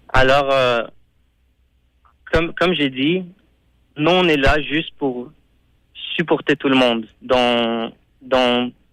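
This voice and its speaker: A man's fairly high voice at a very slow pace, fairly even in intonation, with long, frequent pauses in a very clean recording against a silent background. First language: not French (speaking French). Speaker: Chabad rabbi / community emissary. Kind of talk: radio interview. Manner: halting, many repetitions.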